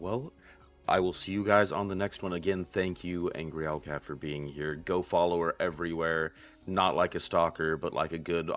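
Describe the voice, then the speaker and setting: With music in the background, a man with a very deep, low pitch talks in a relaxed tone at a moderate pace, his intonation fairly even. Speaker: interviewer, gaming interview host. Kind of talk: casual. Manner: relaxed, chill.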